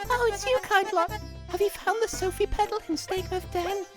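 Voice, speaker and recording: Over clear background music, a put-on character voice at an extremely high pitch talks at a fairly quick pace. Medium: game stream. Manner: warm, polite.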